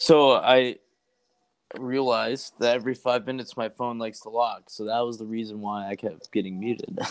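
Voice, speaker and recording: An ordinary speaking voice from a medium-pitched man with an American accent, fairly even intonation, big swings in loudness and a moderate pace. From rural US. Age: 20s. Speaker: navy sailor. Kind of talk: casual chat. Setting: remote call.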